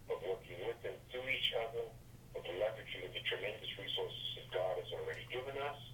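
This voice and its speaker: A man with an American accent talks at a fairly quick pace over noticeable background noise. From US Northeast, Brooklyn, New York. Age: 60s. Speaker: author and networking speaker. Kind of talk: interview. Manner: emphatic, preacher-like cadence.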